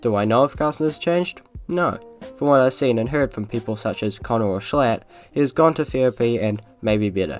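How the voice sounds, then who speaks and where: A man with lively intonation, music in the background. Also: medium pitch for a man. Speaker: YouTube commentator. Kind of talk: commentary narration. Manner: slightly slurred.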